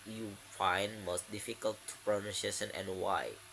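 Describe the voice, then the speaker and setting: Over noticeable background noise, a man speaks with an Indonesian accent. His pitch is fairly low and his pace fairly slow. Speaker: university student. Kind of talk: class presentation. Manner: halting, many fillers.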